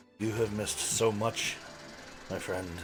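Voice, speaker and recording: A man's put-on character voice, fairly low in pitch, monotone and flat, at a moderate pace. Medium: actual play. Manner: excitable, flustered.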